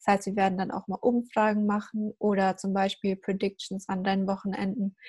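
A woman at medium pitch, somewhat breathy, dark and mellow in tone, monotone and flat, at a moderate pace, dry and close with no echo in a very clean recording with a silent background. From Germany. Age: young. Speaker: podcast host. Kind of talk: casual chat.

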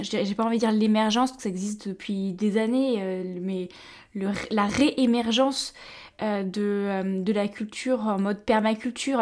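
A woman's fairly high voice, a plain, everyday voice with ordinary pitch variation, on a very clean recording with a silent background. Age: young. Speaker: podcast host and naturopath. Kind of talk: interview.

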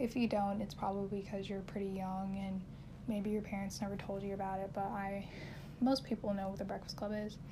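A woman's medium-pitched voice, monotone and flat, with audible room echo and noticeable background noise. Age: 20s. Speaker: solo podcast host. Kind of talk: casual monologue.

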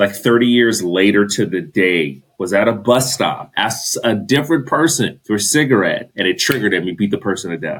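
The delivery comes in a Californian accent with lively intonation. The pace is fairly quick, with hardly any pauses. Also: man, fairly low pitch for a man. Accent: Californian American. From US West Coast, Los Angeles. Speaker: podcast guest. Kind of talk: casual chat.

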